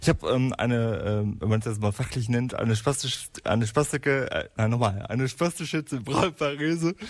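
A man speaks at a fairly quick pace, with hardly any pauses. His pitch varies in an ordinary way. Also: medium pitch for a man. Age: 30s. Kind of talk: interview. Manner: halting.

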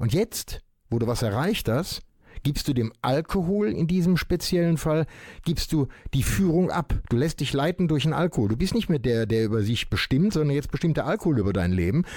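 A man's fairly high voice makes very wide pitch swings at a moderate pace. His loudness stays very even. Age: 70s. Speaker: podcast host, recovered alcoholic. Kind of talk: interview. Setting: studio. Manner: halting, many fillers.

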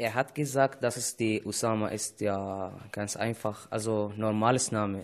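A man with an Arabic accent, fairly low-pitched, at a fairly slow pace, fairly even intonation and hardly any pauses. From Syria. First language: Arabic (speaking German). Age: 20s. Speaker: refugee radio presenter. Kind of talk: casual chat. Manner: halting.

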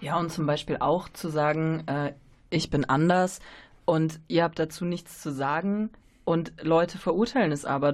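A woman talks in a plain, everyday voice, fairly low in pitch, at a moderate pace with fairly even intonation. The background is quiet. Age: 30s. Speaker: trainee educator. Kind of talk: radio interview. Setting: radio studio.

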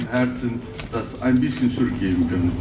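A man at medium pitch and moderate pace, with audible room echo and noticeable background noise. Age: 60s. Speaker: business owner, sponsor. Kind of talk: radio interview.

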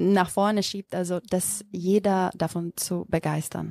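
At a very slow pace, a woman with a Macedonian accent speaks in a dark, mellow tone. The recording is very clean with a silent background, and the sound is dry and close with no echo. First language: Macedonian (speaking German). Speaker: yoga teacher. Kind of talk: interview. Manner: halting.

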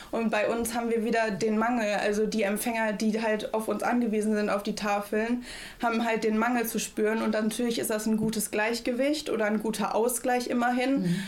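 Speaking fairly quickly with hardly any pauses, a woman holds a fairly high pitch in a monotone, flat intonation. Her loudness stays very even, and there is audible room echo. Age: young. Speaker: federal volunteer at a food bank. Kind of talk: radio interview.

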